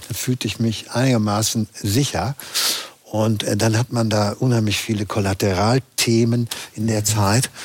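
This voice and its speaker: This man speaks at a fairly slow pace with a medium pitch, his loudness very even. His intonation is monotone and flat, and there is noticeable background noise. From Berlin, Germany. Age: 60s.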